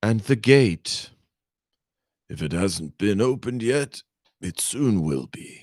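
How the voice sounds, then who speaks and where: Using a raspy, put-on character voice, a man speaks at a fairly low pitch with very wide pitch swings. His pace is fairly slow, with long, frequent pauses, and the sound is dry and close with no echo. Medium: read story. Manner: smooth, courteous.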